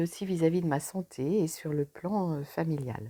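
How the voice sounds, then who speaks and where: In a very clean recording with a silent background, a woman speaks at a fairly slow pace. She has an ordinary speaking voice, fairly low in pitch. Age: 60s. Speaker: pharmacist, coaching client. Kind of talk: testimony.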